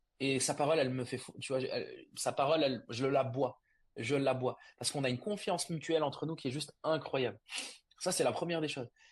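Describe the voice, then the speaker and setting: Against a quiet background, a man with a fairly high pitch speaks at a very fast pace. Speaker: startup co-founder. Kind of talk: podcast interview. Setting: video call from unfinished office. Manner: loud; fast, many hesitations.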